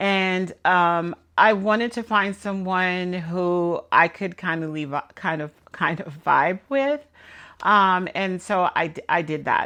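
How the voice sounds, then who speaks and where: A woman with an American accent, medium-pitched with a bright, sharp tone, at a very slow pace and with fairly even intonation, against a quiet background. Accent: New York, comes out sometimes. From New York. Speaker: law student vlogger. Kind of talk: casual talk to camera. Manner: hesitant, many fillers.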